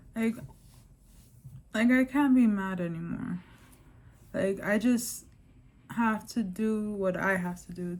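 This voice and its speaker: A woman with an American accent speaks at a very slow pace, her voice somewhat breathy, with ordinary pitch variation and long, frequent pauses. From New York. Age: 30s. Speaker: vlogger. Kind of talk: personal vlog testimony. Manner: casual, filler-heavy (lots of 'like', 'um').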